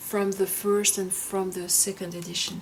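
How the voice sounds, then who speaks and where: A woman with a strong French accent. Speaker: tarot content creator. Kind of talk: casual show-and-tell video. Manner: halting, with frequent fillers and restarts.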